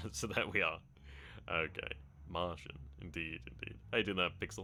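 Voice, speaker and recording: A man speaks with an English accent in a very deep, low pitch touched by vocal fry. His tone is bright and sharp, and his intonation is lively. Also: moderate pace. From England. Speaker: video game streamer. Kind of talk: live gameplay stream commentary. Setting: live stream.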